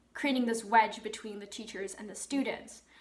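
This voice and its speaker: A woman's fairly high-pitched voice amid audible room echo and noticeable background noise. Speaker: YouTuber, medieval history channel. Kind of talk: educational talk. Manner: casual with filler words.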